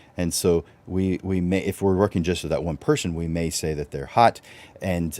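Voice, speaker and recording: A dark, mellow tone at a fairly quick pace. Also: man. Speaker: photography business coach, show host. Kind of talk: live webinar talk. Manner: hesitant fillers.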